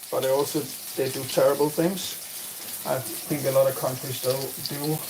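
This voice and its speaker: A man with a Danish accent speaks at a moderate pace in a fairly high voice, leaving long, frequent pauses. Noticeable background noise sits behind him. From Denmark. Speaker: streamer and gaming coach. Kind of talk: live stream chat. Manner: halting.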